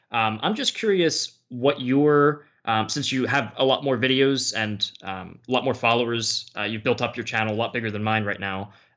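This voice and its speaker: With an American accent, a man delivers an ordinary speaking voice at medium pitch and a moderate pace, showing ordinary pitch variation and hardly any pauses. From United States. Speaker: history YouTuber. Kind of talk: casual chat.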